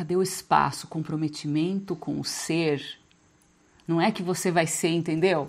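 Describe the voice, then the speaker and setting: The speech moves at a fairly slow pace in a flat, monotone delivery. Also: woman, fairly low pitch for a woman. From Brazil, small inland town. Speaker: spiritual coach. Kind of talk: live group session on spiritual growth. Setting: video call. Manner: casual, conversational.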